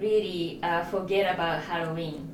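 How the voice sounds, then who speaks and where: The speaker talks with a Japanese accent. Noticeable background noise and audible room echo surround the voice. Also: woman. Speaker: spiritual vlogger. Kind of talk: casual talk to camera. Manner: hesitant, many fillers.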